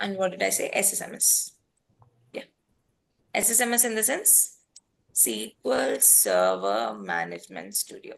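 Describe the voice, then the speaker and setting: Pausing long and often, a woman with an Indian accent speaks at a moderate pace. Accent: Indian English (Telugu). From India, Hyderabad, Telangana. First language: Telugu. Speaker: data engineering trainer. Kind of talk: online class wrap-up.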